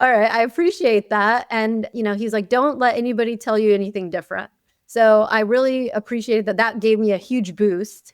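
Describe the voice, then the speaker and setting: A woman speaks at a fairly quick pace and a fairly high pitch. Her intonation is fairly even, on a very clean recording with a silent background. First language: Arabic. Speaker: dentist, chief dental officer. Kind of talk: interview. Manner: casual, many fillers.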